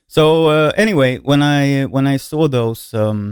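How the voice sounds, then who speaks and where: A man with a Swedish accent talks at a very slow pace. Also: very clean recording, silent background. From Sweden. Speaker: singer and musician. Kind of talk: casual vlog talk. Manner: hesitant, many fillers.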